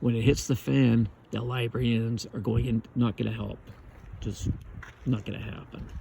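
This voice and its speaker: Long, frequent pauses break up a man's somewhat breathy speech, which has a dark, mellow tone and a moderate pace. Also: medium pitch for a man, fairly even intonation. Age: 60s. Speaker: vlogger. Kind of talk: casual monologue.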